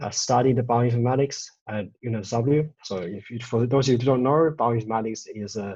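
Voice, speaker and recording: A man's somewhat breathy voice holds a medium pitch and fairly even intonation. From China, moved to Australia at 13. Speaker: data visualisation designer and studio co-founder. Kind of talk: presentation talk. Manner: halting, many fillers and restarts.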